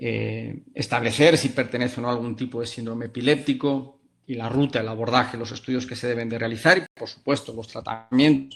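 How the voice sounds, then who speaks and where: A man speaks at a medium pitch with a Spanish accent, his intonation fairly even and hardly any pauses breaking his speech. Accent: Spanish (Spain), marked lisp-like ceceo. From Spain. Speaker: pediatric neurologist. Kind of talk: lecture. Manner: hesitant, many fillers.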